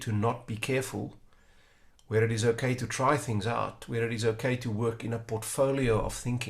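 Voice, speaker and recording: A man's somewhat breathy voice at medium pitch and a moderate pace. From South Africa. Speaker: strategy consultant. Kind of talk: interview conversation.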